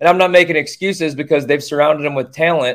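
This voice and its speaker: Very fast speech from a man, fairly high in pitch, its pitch varying in an ordinary way. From Boston. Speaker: sports bettor and restaurant owner. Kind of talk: casual chat.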